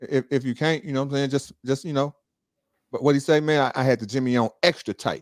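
An American-accented man talks at a fairly quick pace in a plain, everyday voice, pitched fairly high with fairly even intonation. The sound is dry and close, with no echo. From Chicago. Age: 40s. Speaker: real estate investor and juice bar owner. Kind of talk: casual chat. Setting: live online stream.

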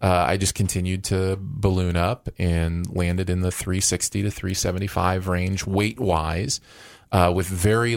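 With a very deep, low pitch, a man speaks at a fairly slow pace in a very clean recording with a silent background. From Michigan. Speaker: podcast host and former radio host. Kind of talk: casual chat.

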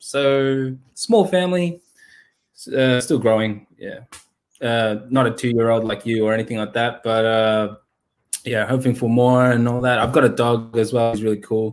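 A man speaks at a medium pitch in an Australian accent. His pitch varies ordinarily, with long, frequent pauses. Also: moderate pace. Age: 30s. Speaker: Pokemon card investor and YouTuber. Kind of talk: casual interview chat.

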